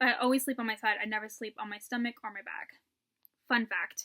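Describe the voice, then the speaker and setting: A raised, projected voice with a bright, sharp, animated tone comes at a fairly quick pace in a dry, close sound with no echo. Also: woman. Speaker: vlogger. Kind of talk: casual chat. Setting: at home.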